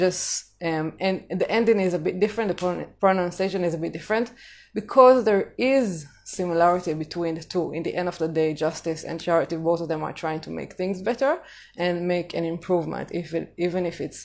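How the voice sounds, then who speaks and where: With an Israeli accent, a woman talks at a fairly quick pace in a fairly low voice with ordinary pitch variation. The recording is very clean, with a silent background. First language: Hebrew. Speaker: vlogger on living in Jamaica. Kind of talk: casual live-stream talk. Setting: social media live stream. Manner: hesitant, many fillers.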